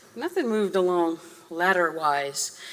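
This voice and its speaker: A woman with an American accent speaks with ordinary pitch variation against noticeable background noise. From Massachusetts, Boston area. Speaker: guest lecturer, theme park designer. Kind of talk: lecture. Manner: fast.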